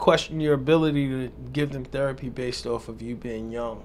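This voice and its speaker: Audible room echo surrounds a man speaking at a moderate pace. His pitch is medium and his intonation fairly even. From New York. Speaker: podcast host. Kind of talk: interview. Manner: casual.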